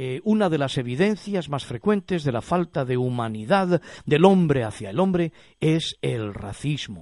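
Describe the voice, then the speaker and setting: A man speaks fairly slowly at a fairly high pitch, his pitch swinging very widely over a quiet background. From Spain. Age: 50s. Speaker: pastor and radio host. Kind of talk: radio talk show on faith.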